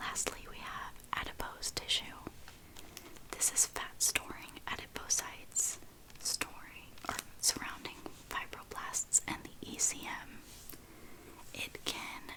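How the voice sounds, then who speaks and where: Whispered words come at a fairly slow pace as noticeable background noise continues. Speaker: anatomy student. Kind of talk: ASMR whispered study-notes reading. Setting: recording with background noise. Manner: whispered, soft-spoken.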